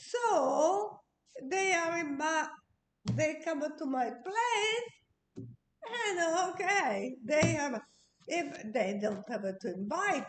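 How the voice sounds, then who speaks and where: A woman talks at a very slow pace with long, frequent pauses. Her high pitch makes very wide swings. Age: 80s+. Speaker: interviewee, host's mother. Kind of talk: casual chat. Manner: halting.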